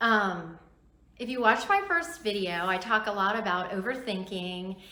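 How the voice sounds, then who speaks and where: A woman talks at a very slow pace with medium pitch and ordinary pitch variation. Noticeable background noise and audible room echo are present. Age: 60s. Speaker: YouTuber vlogger. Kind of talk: casual vlog talk to camera.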